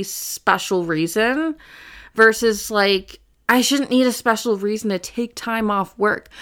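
At a moderate pace, a woman with a fairly high voice and ordinary pitch variation speaks on a very clean recording with a silent background. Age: 30s. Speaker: mental health counselor and podcast host. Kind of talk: personal solo podcast monologue. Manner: halting, many fillers.

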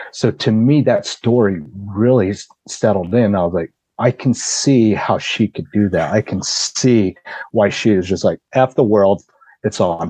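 Heard dry and close with no echo, the voice has a dark, mellow tone and ordinary pitch variation at a fairly slow pace. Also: man, fairly low pitch for a man. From Laos. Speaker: guest storyteller. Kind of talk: casual storytelling interview. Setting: podcast recording. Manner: animated.

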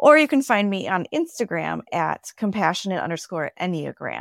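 A woman with an American accent speaks at a moderate pace in a very clean recording with a silent background, the sound dry and close with no echo. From Minnesota, US Upper Midwest. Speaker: personality coach, former pastor. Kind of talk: casual interview chat.

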